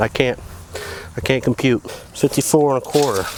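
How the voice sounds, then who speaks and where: Through noticeable background noise, someone with an American accent talks at a moderate pace. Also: man. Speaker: DIY tiny house builder. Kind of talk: tutorial.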